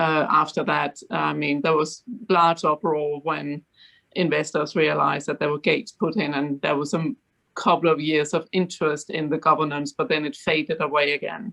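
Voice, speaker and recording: In a Danish accent, a woman with a very deep, low pitch speaks at a moderate pace against a quiet background. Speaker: fund board director. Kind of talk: panel discussion.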